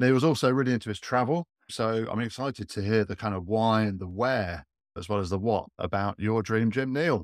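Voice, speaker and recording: Fairly quick speech from a man with a British accent, the recording very clean and the background silent. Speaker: podcast host. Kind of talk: casual interview.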